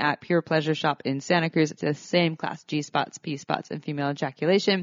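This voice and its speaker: The woman has a normal speaking voice, pitched fairly low. She moves at a moderate pace with fairly even intonation. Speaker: sex educator and podcast co-host. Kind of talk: casual chat. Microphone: new recording equipment, same mics.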